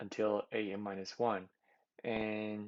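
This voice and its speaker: A man with a non-native accent at a very slow pace. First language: not English. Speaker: competitive programming tutor. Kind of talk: tutorial. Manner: halting, many fillers.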